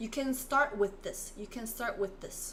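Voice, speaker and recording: A woman talks in a Korean accent with ordinary pitch variation. Noticeable background noise is present. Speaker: Korean language teacher. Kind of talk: live online language lesson.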